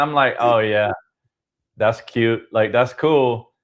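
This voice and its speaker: The speaker talks loud at a fairly slow pace. The tone is animated. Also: man. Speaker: podcast host. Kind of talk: casual chat. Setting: live stream.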